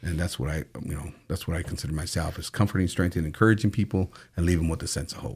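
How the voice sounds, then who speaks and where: With a very deep, low pitch and a somewhat breathy voice, a man talks at a very fast pace with ordinary pitch variation. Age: 50s. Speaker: prison ministry founder. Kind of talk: testimony. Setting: studio. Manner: halting.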